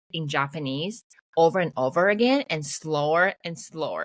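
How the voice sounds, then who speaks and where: The speaker has a Mandarin accent. The sound is dry and close, with no echo. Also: woman. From Taiwan. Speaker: podcast host. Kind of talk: casual chat. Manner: fast.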